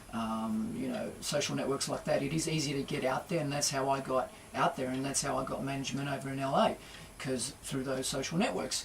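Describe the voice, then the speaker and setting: A man with an Australian accent, fairly high in pitch with ordinary variation, at a fairly quick pace over noticeable background noise. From Australia, Port Kembla NSW. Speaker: singer-songwriter and guitarist. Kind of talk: radio interview. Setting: radio studio.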